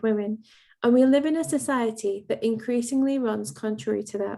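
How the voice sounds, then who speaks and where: In a very clean recording with a silent background, a woman with an English accent speaks at a moderate pace in a dark, mellow tone with a fairly high pitch. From England. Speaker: event host and lecturer. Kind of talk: formal event introduction. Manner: formal.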